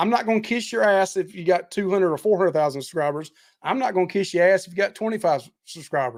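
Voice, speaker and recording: Delivered at a very fast pace, the speech shows big swings in loudness. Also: man, high pitch for a man, lively intonation. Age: 50s. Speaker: cruise vlogger and barbecue content creator. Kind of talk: casual chat.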